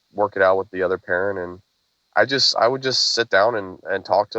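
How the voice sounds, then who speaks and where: Bright and sharp in tone, a man with an American accent speaks fairly quickly at a fairly low pitch, the sound dry and close with no echo against a quiet background. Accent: Oklahoma accent, comes out at times. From Oklahoma. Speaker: single father, podcast guest. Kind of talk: interview.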